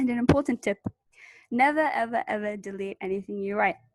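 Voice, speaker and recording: In a British accent, the somewhat breathy voice moves at a fairly quick pace with lively intonation and a dry, close sound with no echo. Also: woman. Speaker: university student presenter. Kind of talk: tutorial webinar. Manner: casual, conversational.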